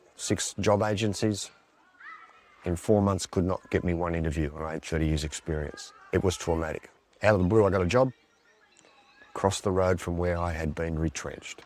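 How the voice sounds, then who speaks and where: A man with a very deep, low voice at a fairly quick pace, fairly even intonation, long and frequent pauses, and noticeable background noise. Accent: Australian. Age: 60s. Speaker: swing voter, ashram worker. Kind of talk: documentary interview.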